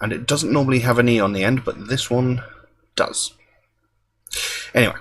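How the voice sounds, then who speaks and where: A man speaks at a fairly quick pace and medium pitch. His voice is somewhat breathy, with fairly even intonation. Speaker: music reaction youtuber. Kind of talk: casual video monologue. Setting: at home. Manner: quiet, soft-spoken; hesitant, many fillers.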